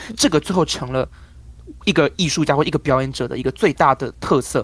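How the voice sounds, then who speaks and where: A man rattles along at a very fast pace, his fairly high pitch showing ordinary pitch variation. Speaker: crosstalk comedian. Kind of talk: interview.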